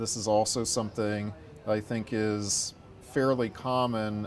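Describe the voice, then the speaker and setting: Monotone, flat intonation carries speech that moves fairly slowly. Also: man. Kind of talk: interview answer.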